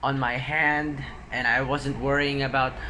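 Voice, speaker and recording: Fairly high-pitched man with a bright, sharp tone and audible room echo. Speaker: vlogger. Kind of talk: casual vlog talk.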